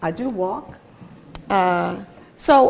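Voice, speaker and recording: A woman with a Philadelphia accent and lively intonation. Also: very clean recording, silent background. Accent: Philadelphia American English. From US, Philadelphia. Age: 60s. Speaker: guest lecturer, advocacy organization executive. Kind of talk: lecture. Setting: lecture hall with audience and microphone.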